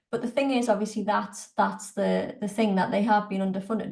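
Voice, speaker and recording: A woman with a northern English accent speaks in a somewhat breathy, fairly high voice with monotone, flat intonation. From northern England, Newcastle. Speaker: politics lecturer. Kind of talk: Q&A in an online talk. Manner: halting, many fillers.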